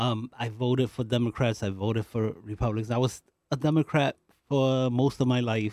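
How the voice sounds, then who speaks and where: A man has an unremarkable speaking voice of medium pitch, with fairly even intonation at a moderate pace. The sound is dry and close with no echo. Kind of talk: casual chat. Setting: studio.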